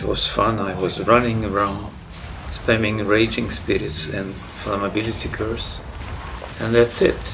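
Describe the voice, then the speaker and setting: Noticeable background noise and audible room echo fill the recording. A man speaks at a very slow pace. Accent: non-native. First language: not English. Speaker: gaming YouTuber. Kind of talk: narrated game guide presentation.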